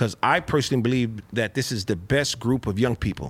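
Speech comes at a very fast pace with ordinary pitch variation. The recording is very clean, with a silent background. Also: man. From South Central Los Angeles. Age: 50s. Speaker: financial educator. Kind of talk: casual interview.

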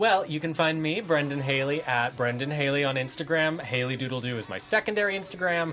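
With music in the background, a man with an American accent speaks at a fairly quick pace with hardly any pauses. His pitch is fairly high, with ordinary pitch variation. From Santa Monica, Southern California. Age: 20s. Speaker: TV review podcast host. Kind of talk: casual chat.

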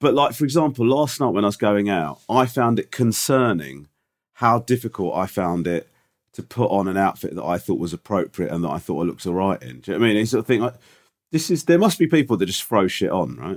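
Speaking very fast with a British accent, the voice swings very widely in pitch. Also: man, fairly low pitch for a man. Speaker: podcast co-host. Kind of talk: casual chat.

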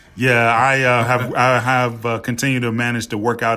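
This man speaks with an American accent and a bright, sharp tone. His intonation is monotone and flat. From Memphis, Tennessee (US South). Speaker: university athletic director. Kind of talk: interview.

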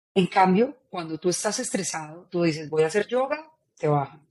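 A woman speaks at a moderate pace in an animated tone. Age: 40s. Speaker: author and neurocoach. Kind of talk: interview.

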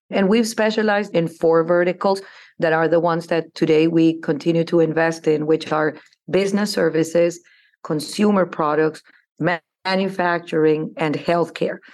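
A woman with a Spanish accent speaks at a very even loudness, her fairly low pitch carrying a fairly even intonation over a quiet background. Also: moderate pace. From Colombia (Bogota). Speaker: investment firm CEO. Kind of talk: interview.

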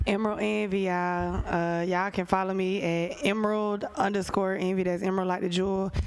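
A woman speaks at a fairly quick clip with a medium pitch, a flat monotone delivery and very even loudness, barely pausing at all. There is audible echo from the room. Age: 20s. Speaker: dancer and musician. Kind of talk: heated panel debate.

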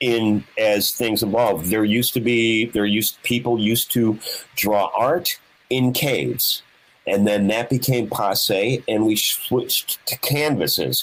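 A man with a normal speaking voice holds a medium pitch, with ordinary pitch variation and very even loudness. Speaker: guitarist. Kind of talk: casual chat. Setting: video call.

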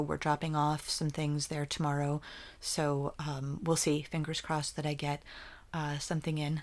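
A woman talks at a moderate pace in a very deep, low pitch with an American accent. The recording is very clean, with a silent background. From central New Jersey. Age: 50s. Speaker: poet and visual artist. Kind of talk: casual interview. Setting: at her home.

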